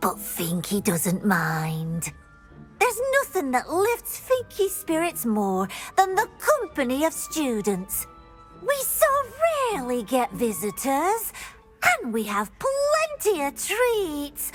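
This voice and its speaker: Against clear music in the background, a cartoonish character voice that sounds female speaks at a fairly slow pace and a high pitch for a woman. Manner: speaks of herself in third person.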